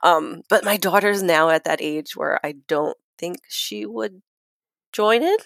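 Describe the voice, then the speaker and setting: A woman with an American accent speaks at a fairly slow pace and a fairly low pitch. Her pitch swings very widely, and the sound is dry and close with no echo. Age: 30s. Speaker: guest. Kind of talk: casual chat telling her story.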